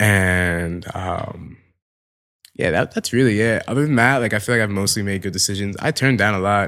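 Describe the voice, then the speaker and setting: Speaking at a moderate pace, a man has a fairly low pitch and a bright, sharp tone. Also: ordinary pitch variation, very clean recording, silent background. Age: 20s. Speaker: fashion photographer. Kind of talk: casual chat.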